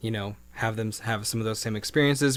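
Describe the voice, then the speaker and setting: This is a man with an American accent. His pitch is fairly low. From Oregon. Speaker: city events staff. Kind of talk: podcast interview. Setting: studio.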